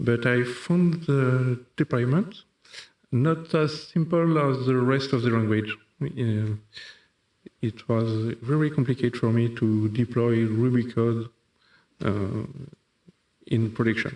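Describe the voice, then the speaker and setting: Talking in a French accent at a medium pitch, a man goes at a very slow pace with long, frequent pauses, ordinary pitch variation and very even loudness. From France. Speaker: software developer. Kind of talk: conference talk. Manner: halting, many fillers.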